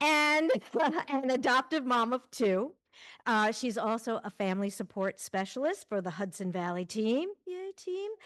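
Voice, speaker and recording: Against a quiet background, a woman with a Long Island accent talks at a high pitch and a fairly slow pace, her pitch swinging very widely. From Long Island, New York. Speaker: event host. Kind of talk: event introduction.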